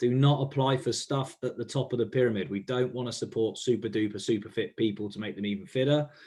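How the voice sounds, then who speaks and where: This man has a medium pitch and a dark, mellow tone. He talks at a fairly quick pace with ordinary pitch variation. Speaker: grant funding advisor. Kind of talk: webinar presentation. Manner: fast.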